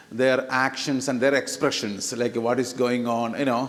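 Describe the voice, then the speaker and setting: At a moderate speed, a man talks with audible echo from the room around him. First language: not English. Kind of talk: sermon. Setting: church. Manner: hesitant, many fillers; animated, talks with hands.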